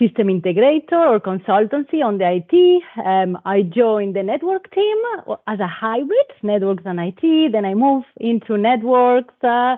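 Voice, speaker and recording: With a Spanish accent, a woman speaks at a moderate pace. Her fairly high voice swings very widely in pitch. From Spain. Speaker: telecom operations manager. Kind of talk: panel talk. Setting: live event with audience.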